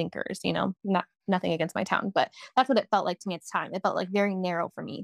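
In a plain, everyday voice, a woman with an American accent talks at a fairly quick pace and fairly low pitch, recorded dry and close with no echo. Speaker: single mother sharing faith testimony. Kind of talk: testimony.

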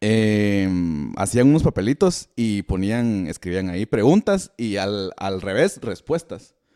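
In a very clean recording with a silent background and a dry, close sound with no echo, a man with a Guatemalan accent speaks very slowly in a fairly low pitch and dark, mellow tone with ordinary pitch variation. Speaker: podcast host. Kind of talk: casual chat.

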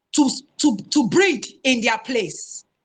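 A woman with a Nigerian accent uses a raised, projected voice with a bright, sharp tone. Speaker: spiritual guest speaker. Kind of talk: panel discussion.

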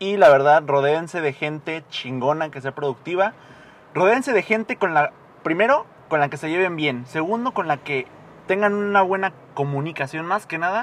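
An unremarkable speaking voice from a man, fairly high-pitched for a man, with lively intonation at a moderate pace. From Mexico, Morelia, Michoacán. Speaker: podcast guest. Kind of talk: casual chat.

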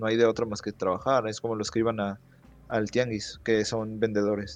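Using an ordinary speaking voice, a man talks at a moderate pace with a fairly low pitch and fairly even intonation. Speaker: podcast guest. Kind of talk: casual chat.

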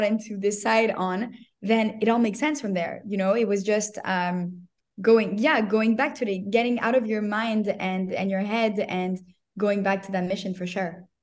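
With a plain, everyday voice, a woman talks at a moderate pace, her pitch fairly high and her intonation fairly even. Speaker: social media agency owner. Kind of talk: casual interview.

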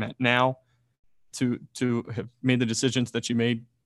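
The speech moves at a moderate pace, with a dry, close sound and no echo. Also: man. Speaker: podcast host. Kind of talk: casual podcast interview.

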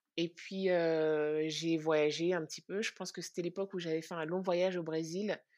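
Speech comes at a moderate pace with hardly any pauses. The intonation is flat and monotone over a quiet background. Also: woman, fairly low pitch for a woman. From France. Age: 30s. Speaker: podcast co-host. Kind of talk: interview testimony.

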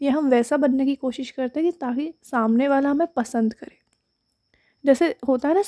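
A soft-spoken woman with a dark, mellow tone and ordinary pitch variation, in a dry, close sound with no echo. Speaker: podcaster. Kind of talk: audio diary. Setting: at home at night.

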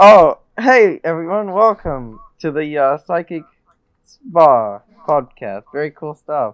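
Speaking at a very slow pace, a man with a fairly high voice makes very wide pitch swings and big swings in loudness, in a dry, close sound with no echo. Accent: American. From United States. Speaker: guest. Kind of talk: casual chat.

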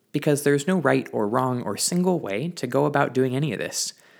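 With an ordinary speaking voice, a man at a medium pitch talks at a fairly quick pace with lively intonation on a very clean recording with a silent background. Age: 20s. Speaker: baker and small business owner. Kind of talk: solo podcast monologue.

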